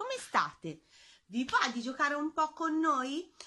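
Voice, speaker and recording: In a raised, projected voice, a woman speaks at a fairly slow pace. The background is quiet. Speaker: gym instructor for children. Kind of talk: instructions to children. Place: home room. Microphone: phone near.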